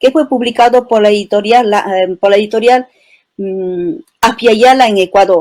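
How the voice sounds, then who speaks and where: Moderate-paced speech from a woman, fairly high in pitch, with ordinary pitch variation. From Peru, Cusco highlands (Chisicata, Espinar). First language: Quechua (speaking Spanish). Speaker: poet and writer. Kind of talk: interview. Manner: poetic, lyrical.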